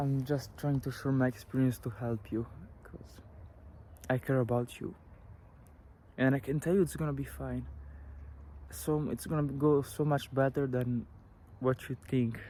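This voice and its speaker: In an Italian accent, a man talks at a moderate pace and medium pitch, his dark, mellow tone somewhat breathy, with ordinary pitch variation and long, frequent pauses. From Italy. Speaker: vlogger sharing personal recovery story. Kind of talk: personal testimony. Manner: hesitant, many fillers.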